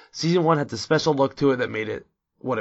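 The man's speech moves at a very fast pace. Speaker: podcast host. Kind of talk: casual chat. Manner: excitable.

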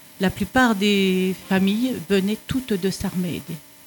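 A woman talks at a medium pitch with ordinary pitch variation. Noticeable background noise sits behind her. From France. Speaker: retiree, Italian conversation learner. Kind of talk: radio interview.

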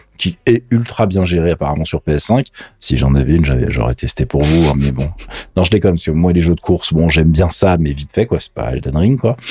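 With a very deep, low pitch, a man speaks at a fairly quick pace in an animated tone. His intonation is lively, and noticeable background noise sits behind him. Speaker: gaming and tech podcast co-host. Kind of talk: casual chat.

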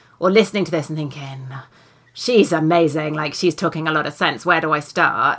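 With a British accent, a woman speaks at a fairly quick pace. Her tone is warm and upbeat. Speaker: podcast host and author. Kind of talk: casual interview chat. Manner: warm, upbeat.

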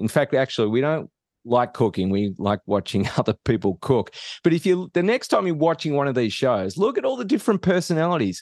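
With an Australian accent, a man speaks fairly quickly at a fairly high pitch, swinging very widely in pitch, in a dry, close sound with no echo against a quiet background. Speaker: professor of innovation and author. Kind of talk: interview conversation.

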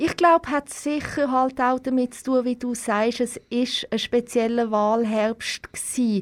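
A woman at a high pitch and fairly slow pace, with hardly any pauses, fairly even intonation, and big swings in loudness. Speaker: TV correspondent. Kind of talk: interview. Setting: studio, wearing face mask.

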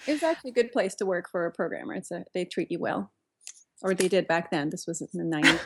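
A woman's medium-pitched voice with vocal fry and lively intonation at a very fast pace, in a very clean recording with a silent background. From Turkey. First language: Turkish. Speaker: software engineer and mixed-media artist. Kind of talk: interview.

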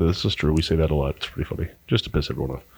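A man's fairly low voice with an American accent and vocal fry. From Arizona, Pinetop-Lakeside. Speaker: brewery sales director. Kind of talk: casual chat. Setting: studio.

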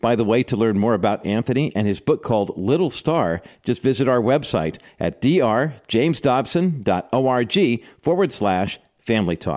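In a plain, everyday voice at a medium pitch, a man speaks at a moderate pace with lively intonation and very even loudness on a very clean recording with a silent background. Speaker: radio host. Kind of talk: radio intro and appeal. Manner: formal, warm.

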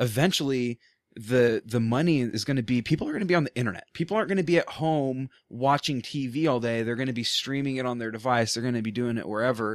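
With an American accent, a man speaks at a medium pitch and a very fast pace, with hardly any pauses and ordinary pitch variation. The recording is very clean, with a silent background. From Portland, Oregon. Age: 20s. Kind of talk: casual chat. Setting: studio.

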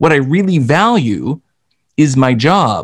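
A man with an unremarkable speaking voice and a Canadian accent talks with lively intonation at a fairly high pitch. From Canada. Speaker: sales expert and author. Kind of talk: casual interview.

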